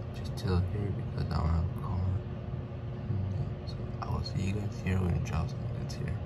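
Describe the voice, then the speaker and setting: A man talks at a moderate pace amid loud background noise. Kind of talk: casual vlog chat. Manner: slurred speech through swollen, numb mouth. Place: home room. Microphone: phone near.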